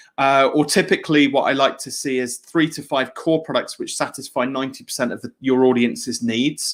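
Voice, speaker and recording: Speaking with a British accent, a man with a fairly high pitch moves at a fairly quick pace with hardly any pauses and big swings in loudness. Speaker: business coach and author. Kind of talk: webinar presentation. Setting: live video session from home studio. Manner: fast when excited; hesitant fillers, repetitions.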